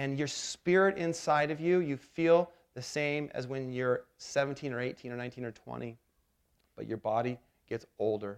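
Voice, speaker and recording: Fairly high pitch for a man, a normal speaking voice, ordinary pitch variation and a fairly slow pace. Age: 40s. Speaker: pastor. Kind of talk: sermon. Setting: church.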